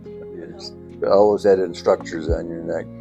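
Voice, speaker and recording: With music in the background, a man with an American accent speaks at a fairly slow pace in a very deep, low pitch with ordinary pitch variation. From upstate New York. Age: 80s+. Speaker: World War II veteran fighter pilot. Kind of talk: interview answer. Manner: hesitant, with frequent fillers.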